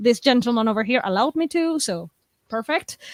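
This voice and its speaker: A woman's high-pitched voice with lively intonation, dry and close with no echo, on a very clean recording with a silent background. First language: not English. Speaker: writer. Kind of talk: casual chat.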